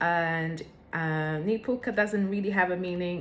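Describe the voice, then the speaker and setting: A woman speaks with a fairly low pitch and ordinary pitch variation. Music plays in the background. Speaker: vlogger. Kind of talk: personal vlog talk. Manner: hesitant, with fillers.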